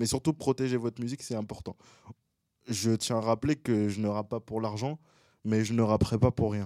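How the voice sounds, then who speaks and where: A man speaks at a fairly quick pace and medium pitch, his intonation fairly even and his tone dark and mellow, with long, frequent pauses. The recording is very clean, with a silent background and a dry, close sound with no echo. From Gabon, then Paris region from age 5-6. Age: 20s. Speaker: rapper and singer. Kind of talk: casual interview. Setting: studio.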